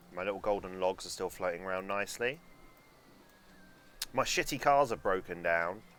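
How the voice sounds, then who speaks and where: At a very deep, low pitch, a man speaks at a moderate pace with ordinary pitch variation and long, frequent pauses. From London, England. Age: 20s. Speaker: video game streamer. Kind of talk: casual live-stream gaming commentary. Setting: live stream.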